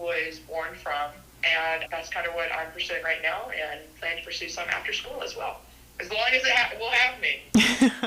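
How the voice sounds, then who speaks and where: A woman with an American accent and a fairly low pitch, with audible room echo and noticeable background noise. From North Carolina (Tarboro area). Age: 20s. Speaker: personal trainer. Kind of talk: podcast interview. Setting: remote call.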